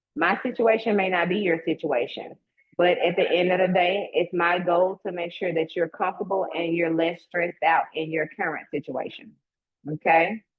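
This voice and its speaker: With a Southern US accent, a woman talks in a fairly low pitch. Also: ordinary pitch variation, moderate pace. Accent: Southern twang. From US South (Mississippi). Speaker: real estate agent. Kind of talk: promotional talk in a live online event; casual chat. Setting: online live stream. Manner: animated.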